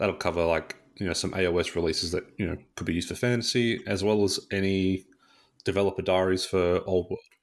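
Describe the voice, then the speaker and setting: With an Australian accent, a man speaks at a fairly quick pace in a very deep, low pitch with monotone, flat intonation. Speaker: podcast co-host. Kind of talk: casual chat.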